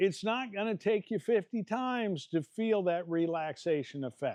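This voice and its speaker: Over a quiet background, a man speaks at a moderate pace. His high pitch moves in lively intonation. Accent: Midwestern American. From Iowa. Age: 60s. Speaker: martial arts fitness coach. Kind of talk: tutorial. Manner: casual and animated.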